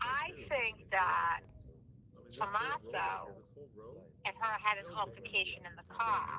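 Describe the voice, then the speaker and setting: The speaker, with a Rhode Island accent, talks at a very slow pace, leaving long, frequent pauses, and the loudness swings widely. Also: woman. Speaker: caller. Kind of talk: call-in theory discussion. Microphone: echo on phone line.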